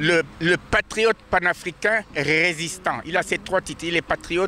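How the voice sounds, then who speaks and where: The speaker goes at a fairly slow pace with ordinary pitch variation, the sound dry and close with no echo, though noticeable background noise is present. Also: man. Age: 80s+. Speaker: pan-African activist. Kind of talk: street interview. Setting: outdoors in front of the court. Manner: halting, many repetitions.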